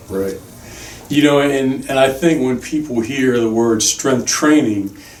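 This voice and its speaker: A man's medium-pitched voice at a fairly slow pace, ordinary pitch variation, audible room echo and noticeable background noise. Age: 60s. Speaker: podcast host. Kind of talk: podcast interview.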